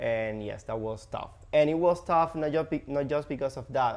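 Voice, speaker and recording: A man with a Spanish accent at a moderate pace. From Cuba. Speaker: real estate agent, former hotel host. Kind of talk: podcast interview. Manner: halting, many fillers.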